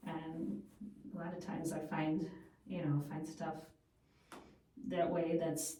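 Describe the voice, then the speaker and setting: A woman speaks very slowly at a fairly low pitch, with ordinary pitch variation and long, frequent pauses. Room echo is audible. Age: 50s. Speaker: food radio show and podcast host. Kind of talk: casual chat.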